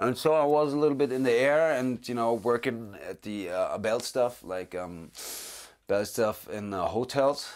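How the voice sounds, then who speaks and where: In a German accent, a man speaks at a medium pitch and a moderate pace with ordinary pitch variation, in a very clean recording with a silent background. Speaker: actor. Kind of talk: interview. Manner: halting.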